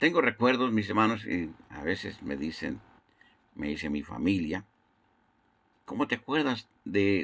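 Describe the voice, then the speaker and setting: Lively intonation and vocal fry come through on a very clean recording with a silent background. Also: man. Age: 60s. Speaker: evangelist. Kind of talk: sermon. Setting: internet broadcast.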